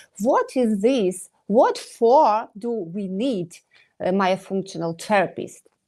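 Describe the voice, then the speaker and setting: The voice carries a Ukrainian accent and a dark, mellow tone. It moves at a very slow pace with ordinary pitch variation. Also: woman, medium pitch for a woman. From Ukraine. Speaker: dentist. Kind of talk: interview. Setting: live online stream. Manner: halting, many hesitations.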